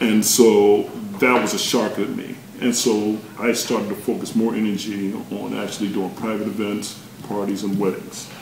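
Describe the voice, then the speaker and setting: A man with an American accent, fairly low in pitch, monotone and flat, at a moderate pace, with noticeable background noise and audible room echo. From North Carolina, Chapel Hill. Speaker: DJ. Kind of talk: interview.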